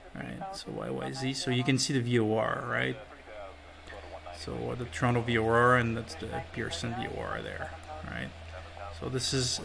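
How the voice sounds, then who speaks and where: There is audible room echo as a man talks at a moderate pace. He leaves long, frequent pauses. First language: not English. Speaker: airline pilot. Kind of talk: tutorial. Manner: casual.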